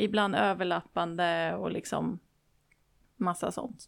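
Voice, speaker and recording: A woman is talking. The audio is very clean and the background is silent. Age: 20s. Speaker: spiritual medium. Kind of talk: interview.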